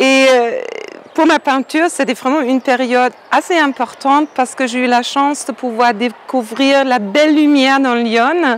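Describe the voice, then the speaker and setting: A high-pitched woman with a German accent, a fairly slow pace and fairly even intonation, amid noticeable background noise. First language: German (speaking French). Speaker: painter. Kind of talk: interview. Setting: outdoors. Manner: halting.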